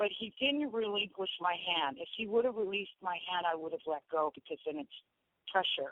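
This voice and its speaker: Her intonation is lively. The woman talks at a moderate pace and medium pitch. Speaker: drum circle founder and drummer. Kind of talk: interview. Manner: animated.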